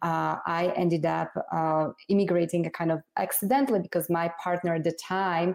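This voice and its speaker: A woman with a Slovak accent and a fairly low pitch speaks at a moderate pace with fairly even intonation. The recording is very clean, with a silent background. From Slovakia. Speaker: congressional candidate. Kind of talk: interview.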